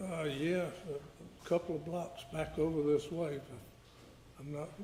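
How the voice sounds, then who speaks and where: Flat, monotone American-accented delivery at a fairly slow pace, with audible room echo. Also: man, fairly high pitch for a man. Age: 70s. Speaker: witness, victim's father. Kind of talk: courtroom testimony. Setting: courtroom. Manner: halting.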